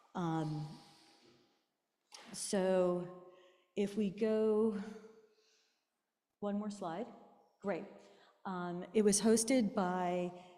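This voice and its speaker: A soft-spoken woman talks at a very slow pace. Her tone is dark and mellow. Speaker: artist and presenter. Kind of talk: presentation talk. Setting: room with live audience, amplified. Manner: hesitant, many fillers. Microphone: too quiet at first.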